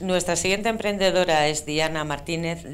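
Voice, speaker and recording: At a moderate pace, a woman speaks with fairly even intonation over light background noise. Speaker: event host. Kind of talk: event presenting. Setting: stage with audience. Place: hall. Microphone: handheld.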